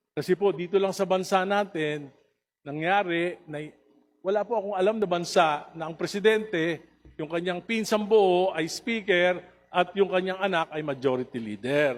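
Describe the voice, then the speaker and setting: Pitched high, a man talks at a moderate pace. His pitch variation is ordinary. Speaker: congressman. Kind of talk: heated debate. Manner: passionate, raised voice.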